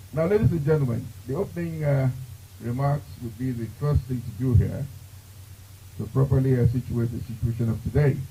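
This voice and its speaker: The voice is somewhat breathy and moves at a fairly quick pace. Its pitch variation is ordinary. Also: man, medium pitch for a man. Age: 70s. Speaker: master of ceremonies. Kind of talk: event emceeing.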